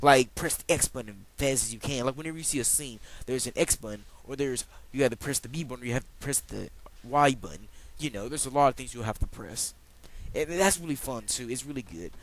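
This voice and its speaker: Talking at a very fast pace, a man with a medium pitch, ordinary pitch variation and vocal fry shows big swings in loudness. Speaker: video game reviewer. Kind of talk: casual video game review. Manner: animated.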